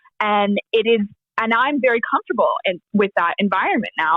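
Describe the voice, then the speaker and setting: With a plain, everyday voice, a woman speaks at a moderate pace and a fairly high pitch. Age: young. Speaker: charity auctioneer. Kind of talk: podcast interview answer.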